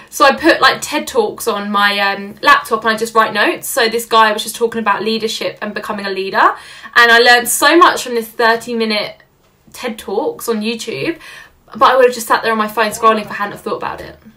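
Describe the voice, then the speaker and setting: Speaking with a London accent at a fairly quick pace, a woman uses a fairly high pitch with ordinary pitch variation and big swings in loudness over a quiet background. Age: 20s. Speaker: social media entrepreneur; podcast guest. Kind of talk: casual chat. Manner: animated. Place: home room. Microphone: webcam.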